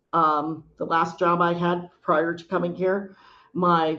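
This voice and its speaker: In a normal speaking voice, a woman talks at a fairly slow pace and a fairly low pitch, with fairly even intonation. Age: 60s. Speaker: nurse and home care administrator. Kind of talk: panel discussion.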